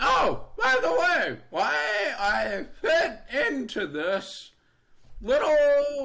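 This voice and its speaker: In a raised, projected voice with an American accent, a man speaks very slowly at an extremely high pitch, his tone bright and sharp, with audible room echo. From North Carolina. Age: 20s. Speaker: design engineer, deaf guest. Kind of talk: interview.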